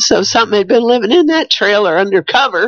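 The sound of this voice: A woman with lively intonation and a fairly bright tone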